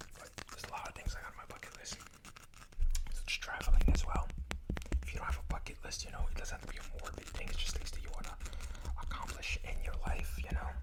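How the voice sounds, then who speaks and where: Whispering at a very fast pace, with long, frequent pauses, big swings in loudness and noticeable background noise. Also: man. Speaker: ASMR creator. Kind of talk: ASMR rambling to camera. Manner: fast, chaotic, casual.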